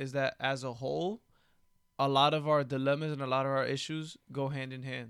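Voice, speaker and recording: This man has a normal speaking voice at a fairly high pitch, captured on a very clean recording with a silent background. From Dominican-American, US Northeast. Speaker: podcast co-host. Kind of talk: casual political discussion.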